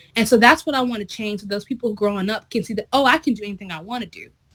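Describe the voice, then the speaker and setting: Talking very fast, a woman with a fairly high, somewhat breathy voice uses ordinary pitch variation. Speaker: interviewed performer. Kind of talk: interview. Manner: casual.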